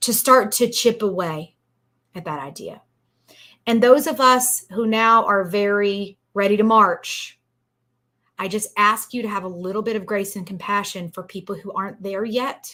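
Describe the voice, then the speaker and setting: A woman with an American accent, medium pitch, a bright, sharp tone, ordinary pitch variation, moderate pace and big swings in loudness, in a very clean recording with a silent background. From East Texas. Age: 40s. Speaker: lawyer and podcast host. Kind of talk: casual discussion. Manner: animated.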